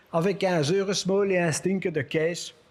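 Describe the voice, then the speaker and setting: The man's voice is high in pitch. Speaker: storyteller. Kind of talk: humorous fable reading.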